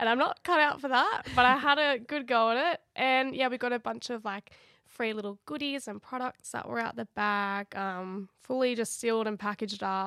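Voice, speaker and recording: Against a silent background in a very clean recording, a woman with an Australian accent speaks at a moderate pace with hardly any pauses, her fairly high pitch carrying ordinary variation and a bright, sharp tone in a dry, close sound with no echo. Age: 20s. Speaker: podcast co-host, makeup artist. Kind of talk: casual chat.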